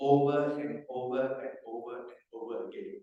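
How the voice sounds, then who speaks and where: A man speaks in a fairly high pitch at a moderate pace. His intonation is monotone and flat, and room echo is audible. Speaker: business executive giving a motivational talk. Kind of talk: motivational seminar speech. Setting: stage with audience.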